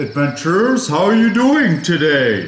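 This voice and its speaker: A woman's put-on character voice, fairly low in pitch with very wide pitch swings, over clear background noise. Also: moderate pace. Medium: actual play. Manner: warm, welcoming.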